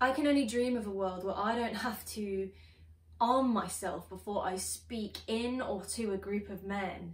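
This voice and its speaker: Audible room echo surrounds a woman's voice. She moves at a moderate pace with ordinary pitch variation. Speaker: spoken word poet. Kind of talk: spoken word poetry performance. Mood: earnest, expressive, frustrated. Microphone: phone near.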